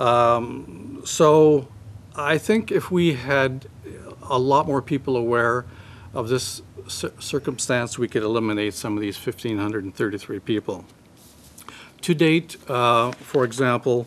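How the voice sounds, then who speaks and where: A man with a Canadian accent talks at a very slow pace. His pitch is medium with ordinary variation. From Ontario, Canada (Sault Ste. Marie); Ontario, Canada. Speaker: husband of a transplant patient; conference speaker. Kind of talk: press conference statement. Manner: hesitant with many fillers. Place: meeting room. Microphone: podium.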